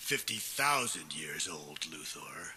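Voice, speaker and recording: Using a put-on character voice, a man talks at a fairly slow pace in a raspy voice. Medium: audio drama.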